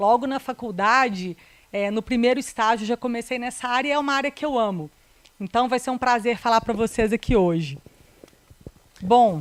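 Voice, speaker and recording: The speech has a slight Minas Gerais accent, a moderate pace and long, frequent pauses. The sound is dry and close, with no echo. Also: woman, fairly high pitch for a woman, ordinary pitch variation. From Minas Gerais, Brazil (Belo Horizonte). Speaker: corporate lawyer. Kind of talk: presentation. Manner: hesitant, many fillers.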